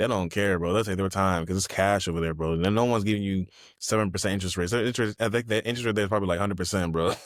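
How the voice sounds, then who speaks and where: A man speaks at a very fast pace with very even loudness and an American accent. His voice is fairly low, captured in a very clean recording with a silent background. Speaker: guest, real estate agent and educator. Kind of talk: casual chat. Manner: animated.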